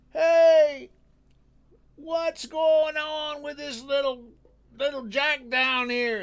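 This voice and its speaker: In a put-on character voice pitched extremely high, a man projects loudly at a very slow pace with long, frequent pauses. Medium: read story. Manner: sharp, curt.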